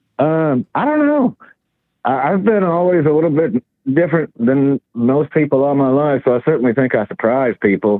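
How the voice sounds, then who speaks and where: Here a man with a Southern US accent talks at a moderate pace in a fairly high pitch. His intonation is lively. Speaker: truck driver and artist. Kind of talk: interview. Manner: halting, many fillers; calm.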